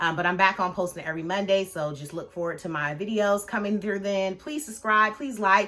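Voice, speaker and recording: A woman speaks in an animated tone at a fairly quick pace. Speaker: movie reviewer. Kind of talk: casual vlog review. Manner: fast.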